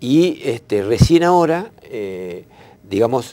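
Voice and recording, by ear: The voice has a dark, mellow tone and big pitch swings. It moves at a slow pace. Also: man, medium pitch for a man.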